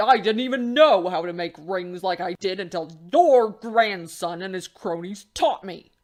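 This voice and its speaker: A put-on character voice at middle pitch. It moves at a moderate pace with hardly any pauses. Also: female-sounding voice. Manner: cool, mocking.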